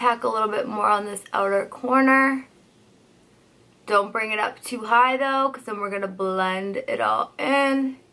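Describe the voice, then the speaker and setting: The voice has a bright, sharp tone and ordinary pitch variation, moving at a fairly slow pace. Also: woman, fairly high pitch for a woman. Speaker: beauty youtuber and hairstylist. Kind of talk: makeup tutorial. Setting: at home by a window for natural light. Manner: casual, chatty.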